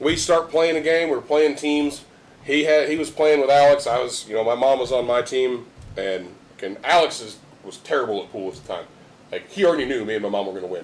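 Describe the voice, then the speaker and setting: Over noticeable background noise, a man with a fairly high voice talks fairly quickly in an animated tone, his intonation lively and his loudness swinging widely. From rural area. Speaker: podcast host. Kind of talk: casual chat. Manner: animated storytelling.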